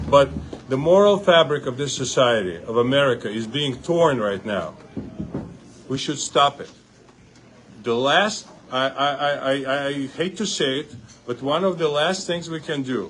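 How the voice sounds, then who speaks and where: Amid noticeable background noise and audible room echo, a man speaks at a moderate pace in a fairly high pitch with lively intonation and long, frequent pauses. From Uzbekistan. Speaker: congressional candidate. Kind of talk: campaign interview speech. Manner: animated.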